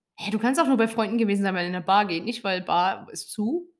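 The voice is an unremarkable speaking voice. Its delivery is moderately paced. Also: woman. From Lower Saxony, near Hannover. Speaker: podcast co-host. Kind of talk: casual chat.

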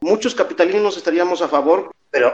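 A man speaks with a Mexico City accent. His pitch is high. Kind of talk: casual chat. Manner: halting, repeats words.

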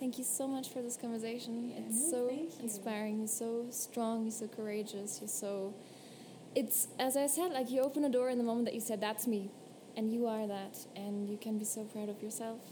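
The speech moves at a fairly quick pace with fairly even intonation, amid audible room echo and noticeable background noise. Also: woman, fairly high pitch for a woman. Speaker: podcast host. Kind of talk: casual interview; reading aloud. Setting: tea room.

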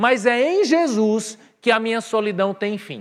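Animated and with lively intonation, a man speaks at an extremely high pitch. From Brazil, Northeast (Patos, Paraíba). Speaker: pastor. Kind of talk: sermon. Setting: church with live audience, livestreamed.

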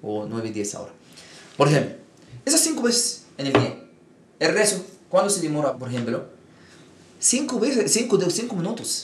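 Speech at a moderate pace, with long, frequent pauses and very wide pitch swings, plus audible room echo and noticeable background noise. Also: man, high pitch for a man. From Egypt. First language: Arabic (speaking Spanish). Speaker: imam. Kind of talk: interview.

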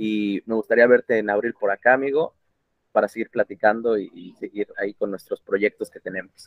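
This man has an unremarkable speaking voice at a medium pitch, with fairly even intonation and a moderate pace. His loudness swings widely. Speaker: podcast host. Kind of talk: casual interview. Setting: call.

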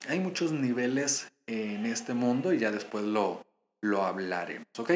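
A man's fairly slow delivery with very wide pitch swings. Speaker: podcast host and fitness coach. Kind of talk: casual monologue.

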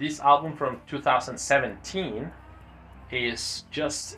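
A bright, sharp tone at a very slow pace. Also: man. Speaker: podcast host. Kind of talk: casual chat.

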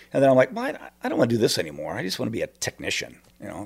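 A man at a very fast pace in a very clean recording, silent background. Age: 50s. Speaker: stage manager and fight choreographer. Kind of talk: casual chat. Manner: hesitant, many fillers.

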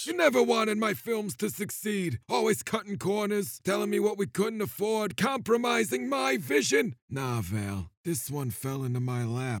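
A man uses a put-on character voice with a fairly high pitch and very wide pitch swings, speaking at a moderate pace with hardly any pauses. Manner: gloating, menacing, self-pitying.

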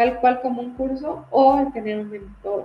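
A woman's high voice with a Mexican accent at a moderate pace. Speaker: personal finance host. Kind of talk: live stream monologue. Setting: live stream.

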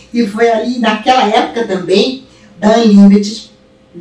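With noticeable background noise and audible room echo, a woman talks at a moderate pace. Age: 70s. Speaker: wallpaper and fabrics shop owner. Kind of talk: casual chat.

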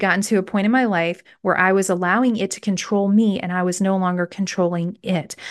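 An unremarkable speaking voice with fairly even intonation is heard against a quiet background. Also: woman. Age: 40s. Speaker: faith-based wellness podcast host. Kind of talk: solo podcast monologue, motivational teaching. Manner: conversational, with frequent filler words and repetitions.

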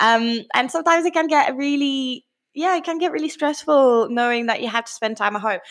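A high-pitched woman's voice at a fairly quick pace, in a very clean recording with a silent background. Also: lively intonation. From France. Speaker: fitness coach. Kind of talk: podcast monologue.

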